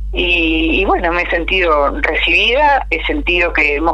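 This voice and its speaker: Someone speaks with a Uruguayan accent over noticeable background noise. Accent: Uruguayan Spanish (rioplatense). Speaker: agricultural communicator. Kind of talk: interview.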